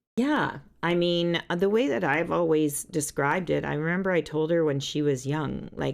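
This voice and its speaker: At a moderate pace, a woman talks in a very deep, low voice with ordinary pitch variation. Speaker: songwriter. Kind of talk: casual chat. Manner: loud.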